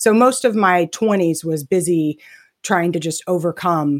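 Dry and close with no echo, a woman with an American accent speaks at a fairly low pitch. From Texas. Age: 50s. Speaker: retirement plan consultant. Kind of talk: casual interview chat. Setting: remote call. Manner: animated, fast.

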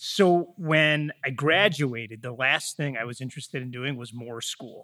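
Bright, sharp tone from a man, captured in a very clean recording with a silent background. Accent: Michigan. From US Midwest, Metro Detroit. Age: 40s. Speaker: real estate company learning executive. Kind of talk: interview.

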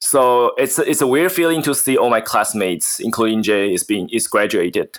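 At a moderate pace, a man speaks with a Mandarin accent. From Taiwan. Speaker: podcast co-host, MBA student. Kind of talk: casual chat. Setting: video call. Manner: halting.

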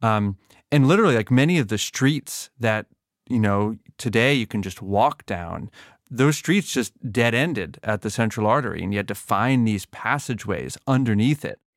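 An ordinary speaking voice from a man with an American accent, medium pitch, ordinary pitch variation and a moderate pace, in a dry, close sound with no echo on a very clean recording with a silent background. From Massachusetts. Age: 30s. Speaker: podcast host and journalist. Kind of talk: interview conversation.

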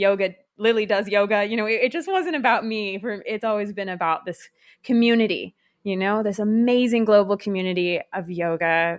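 At a fairly quick pace, a woman uses a plain, everyday voice at medium pitch with ordinary pitch variation over a quiet background. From California. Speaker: yoga teacher and community founder. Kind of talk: interview.

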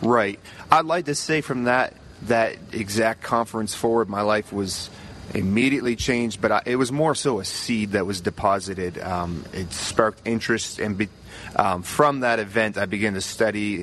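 Noticeable background noise sits behind a man with a Maritime Canadian accent. He talks at a moderate pace in a fairly low pitch, with ordinary pitch variation. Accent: Canadian (Maritimes). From Nova Scotia, Canada. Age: 20s. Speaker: youth pastor. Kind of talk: podcast interview. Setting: convention center booth.

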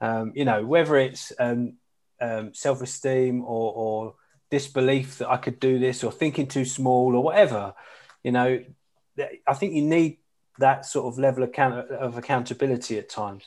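A man speaks with an Essex accent at a moderate pace and medium pitch. His intonation is fairly even against a quiet background. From Essex, England. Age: 40s. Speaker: charity CEO. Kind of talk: casual interview. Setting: remote call from home.

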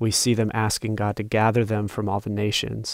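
A man's normal speaking voice, fairly low in pitch and fairly quick in pace, on a very clean recording with a silent background. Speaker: Bible study participant. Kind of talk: small group Bible study conversation.

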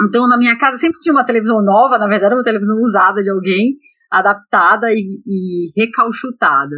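A woman talks at a fairly quick pace in a fairly high pitch. Her tone is bright and sharp, with lively intonation. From Brazil, Belém (Pará). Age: 40s. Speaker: electrical engineer. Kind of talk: interview.

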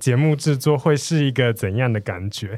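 A very clean recording with a silent background, spoken with a Taiwanese accent. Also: man. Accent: Taiwanese Mandarin. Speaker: podcast host. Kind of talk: casual interview chat.

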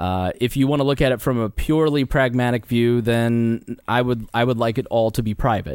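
A man speaks in a plain, everyday voice at a medium pitch, with ordinary pitch variation. His loudness stays very even, and he hardly pauses at all. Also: moderate pace. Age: 30s. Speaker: libertarian podcast host. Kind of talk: casual chat. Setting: studio.

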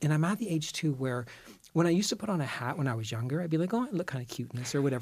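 Very fast and somewhat breathy, a man talks at a fairly high pitch with lively intonation in a very clean recording with a silent background. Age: 50s. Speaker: style columnist. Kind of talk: casual chat.

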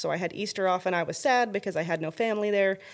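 A woman in a western Canadian accent, medium-pitched, with ordinary pitch variation at a very fast pace, on a very clean recording with a silent background. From Canada, northern Alberta. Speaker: lighting company owner. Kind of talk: casual interview.

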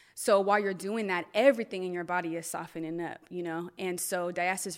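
Heard in a very clean recording with a silent background, a woman with a Californian accent speaks at a fairly low pitch. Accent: Californian American. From Northern California (Stockton). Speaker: life and wellness coach. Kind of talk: casual chat. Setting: studio.

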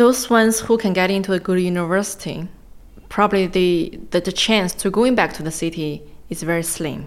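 At a moderate pace, a woman talks in a medium pitch with ordinary pitch variation. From China, Gansu. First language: Chinese. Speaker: interviewee. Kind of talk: interview.

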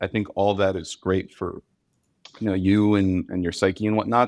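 In a dry, close sound with no echo, a man speaks at a moderate pace. He has a plain, everyday voice with a fairly low pitch. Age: 20s. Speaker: startup founder and software engineer. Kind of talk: casual interview.

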